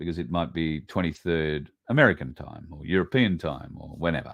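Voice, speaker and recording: A male speaker with an Australian accent. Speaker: online show host. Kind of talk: casual livestream monologue.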